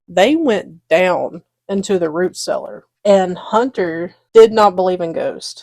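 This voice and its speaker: A very slow pace and lively intonation in a Southern US accent. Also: woman, medium pitch for a woman. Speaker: podcast co-host. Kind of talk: casual chat. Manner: halting.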